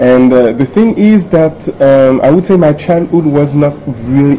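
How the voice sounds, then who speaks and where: A man speaks at a fairly slow pace with a French accent. Music plays in the background. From France, Paris. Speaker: entrepreneur and author. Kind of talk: interview.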